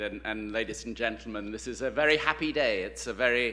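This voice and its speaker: At a fairly quick pace, a man speaks with fairly even intonation. Noticeable background noise and audible room echo come through. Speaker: university president. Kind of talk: ceremonial speech. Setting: stage with audience. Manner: halting.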